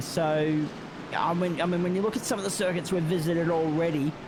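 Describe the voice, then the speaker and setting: With an Australian accent, a man talks at a fairly high pitch. Noticeable background noise and audible room echo are present. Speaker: sim racing guest commentator. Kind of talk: live race commentary.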